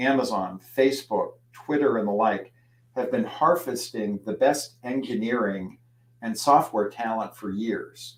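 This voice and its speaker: With an American accent, a man talks at a fairly slow pace and medium pitch, with ordinary pitch variation and a plain, everyday voice. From US Midwest (Youngstown, Ohio). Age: 60s. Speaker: trade magazine editor, speaker. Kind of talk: lecture. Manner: conversational.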